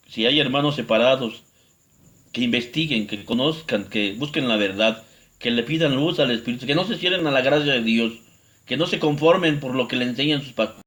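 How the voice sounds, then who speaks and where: At a moderate pace, a man speaks in an unremarkable speaking voice with a medium pitch. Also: ordinary pitch variation. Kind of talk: religious teaching video.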